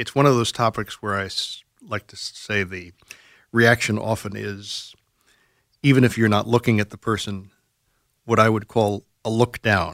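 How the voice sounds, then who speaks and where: A man with a fairly low voice speaks at a moderate pace, pausing long and often, his loudness swinging widely. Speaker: radio host. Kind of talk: radio talk show discussion on mental health. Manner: formal, measured, articulate.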